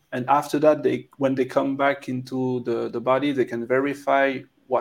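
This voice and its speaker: A man with a French accent at a moderate pace. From France. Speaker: documentary filmmaker. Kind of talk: interview. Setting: video call.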